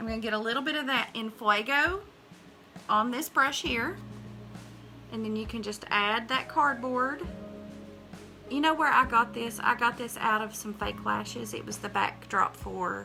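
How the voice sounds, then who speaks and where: Moderate pace with long, frequent pauses, in a Southern US accent, with music in the background. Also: woman. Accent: Southern American. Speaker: makeup artist. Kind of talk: casual talk to camera, tutorial demo.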